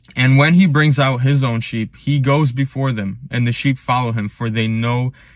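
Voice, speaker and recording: On a very clean recording with a silent background, a man with a normal speaking voice talks at medium pitch and a fairly slow pace with fairly even intonation. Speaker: pastor. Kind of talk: sermon-style devotional talk to camera.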